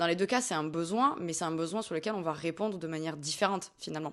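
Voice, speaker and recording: A woman is talking. Her pace is very fast. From southern France, Hérault. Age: 20s. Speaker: dietitian-nutritionist. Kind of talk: interview. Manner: hesitant, frequent fillers.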